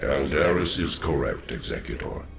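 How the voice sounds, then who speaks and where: A man does a cartoonish character voice at a fairly slow pace while clear music plays in the background. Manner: calm, grave.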